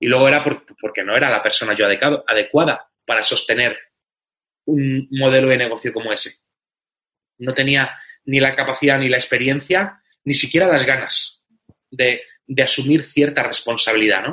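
Bright and sharp in tone, a man speaks at a medium pitch and moderate pace with ordinary pitch variation and long, frequent pauses. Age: 30s. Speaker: business coach and entrepreneur mentor. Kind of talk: interview.

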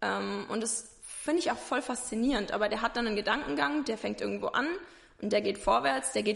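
This woman's voice sits fairly high and swings very widely in pitch. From Rhineland-Palatinate, Germany (Ingelheim near Mainz). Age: 20s. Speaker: interview guest sharing mental health experience. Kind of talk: casual interview. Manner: hesitant, many fillers.

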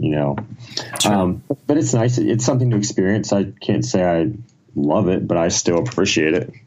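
A man's very deep, low voice with an American accent, very wide pitch swings, very even loudness and a moderate pace, over noticeable background noise. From Ohio, US Midwest. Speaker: rock musician. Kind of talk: casual chat. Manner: animated.

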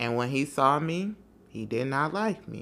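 The woman's pitch is very deep and low. Her tone comes across bright and sharp. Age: 30s. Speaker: podcast host. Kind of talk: unscripted faith-based monologue. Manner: unscripted, occasional pauses and rewording.

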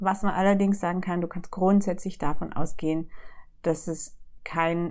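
In a very clean recording with a silent background, a woman with a dark, mellow tone and fairly low pitch speaks at a moderate pace. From southwest Germany, Lörrach. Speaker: church secretary and foster mother. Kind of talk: podcast interview.

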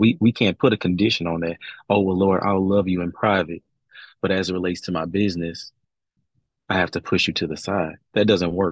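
In a Louisiana accent, the speaker moves at a moderate pace with fairly even intonation, in a dry, close sound with no echo against a quiet background. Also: man. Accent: Southern US (Louisiana). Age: 20s. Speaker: business coach. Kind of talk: casual interview chat.

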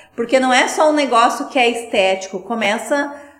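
The recording carries noticeable background noise and audible room echo. The speech moves at a moderate pace. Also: woman. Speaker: gym owner and physical educator. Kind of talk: casual interview chat.

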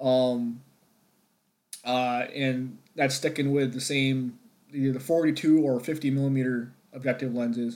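A plain, everyday voice with an American accent talks at a fairly slow pace with fairly even intonation. The recording is very clean, with a silent background. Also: man. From Northern New York. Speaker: podcast host, wildlife management. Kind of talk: solo podcast talk, gear tutorial. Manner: many filler words (um, uh).

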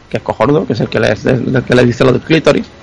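Noticeable background noise sits behind this recording. A man speaks at medium pitch with ordinary pitch variation. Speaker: podcast co-host. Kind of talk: casual chat. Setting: video call.

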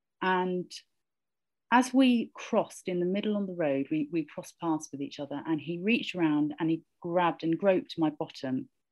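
A woman speaks with a British accent and a fairly low pitch. Her intonation is lively and her pace moderate. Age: 30s. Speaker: podcast co-host. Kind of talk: casual chat.

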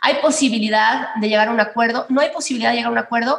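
A woman's fairly high-pitched voice with a Mexican accent at a very fast pace, amid noticeable background noise. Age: 40s. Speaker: political communication consultant. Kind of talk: casual interview. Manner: animated.

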